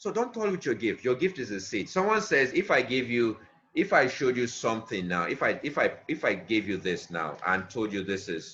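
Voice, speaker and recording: Hardly any pauses, a fairly quick pace, a bright, sharp tone and very wide pitch swings. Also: man. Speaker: motivational speaker. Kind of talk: motivational talk.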